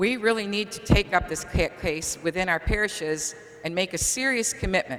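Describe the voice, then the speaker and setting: A woman with an American accent talks at a fairly quick pace and a medium pitch. Her pitch varies in an ordinary way, and background noise is noticeable. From Auburn, New York (upstate New York). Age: 60s. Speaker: parishioner. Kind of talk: public comment at a meeting.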